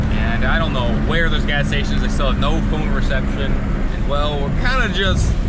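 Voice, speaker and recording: A man talks at a moderate speed while background noise stays clearly audible. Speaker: travel vlogger. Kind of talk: casual vlog narration. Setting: outdoors in rain.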